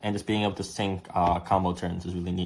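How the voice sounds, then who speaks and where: A man speaks with fairly even intonation. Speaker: card game content creator. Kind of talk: deck profile tutorial. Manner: fast; casual, filler-heavy.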